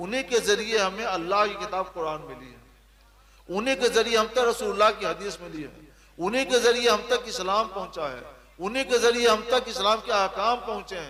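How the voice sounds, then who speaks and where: In a raised, projected voice, a man speaks at a moderate pace with a high pitch and ordinary pitch variation. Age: 60s. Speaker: Islamic scholar. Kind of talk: religious Q&A.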